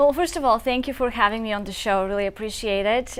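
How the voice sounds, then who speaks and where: A woman with a Bulgarian accent talks at a very fast pace. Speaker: nonprofit founder. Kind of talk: talk show interview.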